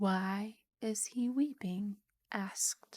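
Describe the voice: Behind the voice, things stay quiet. The delivery is plain reading aloud.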